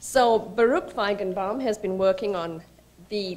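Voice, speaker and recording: A woman with an American accent, fairly slow pace and fairly even intonation. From Georgia, US. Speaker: think tank executive. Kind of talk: speaker introduction. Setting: conference stage with audience. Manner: hesitant, many fillers. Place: hall. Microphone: podium.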